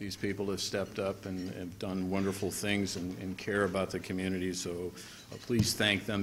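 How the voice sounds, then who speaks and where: Over light background noise, a man with an ordinary speaking voice talks at a moderate pace in a fairly low pitch, his intonation fairly even. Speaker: guest. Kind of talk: formal speech remarks. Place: hall. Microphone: podium.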